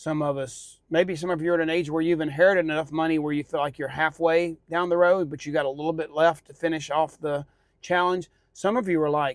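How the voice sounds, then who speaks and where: A man with a normal speaking voice and a fairly high pitch talks at a fairly quick pace with fairly even intonation, in a very clean recording with a silent background. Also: dry, close sound with no echo. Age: 60s. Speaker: podcast co-host. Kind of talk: casual chat.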